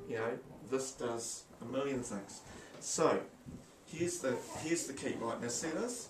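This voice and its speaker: Speech comes at a fairly slow pace with long, frequent pauses over noticeable background noise. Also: man, ordinary pitch variation. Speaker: tech demonstrator; teacher. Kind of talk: tutorial. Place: office. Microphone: phone near.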